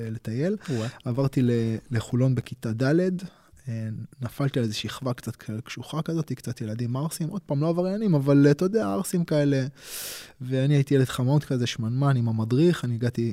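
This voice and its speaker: A dark, mellow tone at a moderate pace, with ordinary pitch variation and a dry, close sound with no echo. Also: man, medium pitch for a man. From Israel, Tel Aviv and Holon. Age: 40s. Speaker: martial arts instructor. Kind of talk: casual interview conversation. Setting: studio at his martial arts school.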